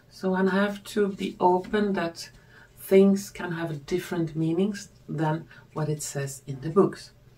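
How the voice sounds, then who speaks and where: A woman with a non-native accent speaks at a fairly slow pace, her fairly low voice moving in a fairly even intonation. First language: not English. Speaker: tarot reader and spiritual video creator. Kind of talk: scripted-style monologue, video presentation.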